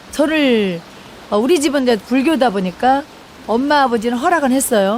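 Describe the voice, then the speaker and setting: The speaker has a strong Jeolla accent. Noticeable background noise can be heard. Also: woman. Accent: thick Jeolla dialect. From South Korea, Jeolla. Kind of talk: testimony. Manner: conversational, halting.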